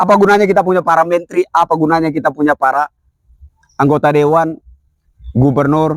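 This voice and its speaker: The man's pitch is fairly high, and his intonation stays fairly even. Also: dry, close sound with no echo. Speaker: activist commentator. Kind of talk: political commentary monologue. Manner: loud.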